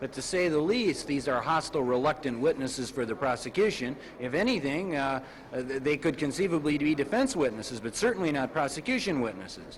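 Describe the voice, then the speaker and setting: Fairly quick, lively speech from a man with a fairly high pitch, over noticeable background noise. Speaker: defense attorney. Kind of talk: interview answer.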